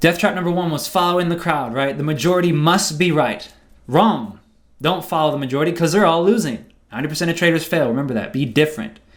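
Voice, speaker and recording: Speech comes at a very fast pace with ordinary pitch variation and audible room echo. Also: man, fairly high pitch for a man. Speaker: trading educator. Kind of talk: seminar lecture.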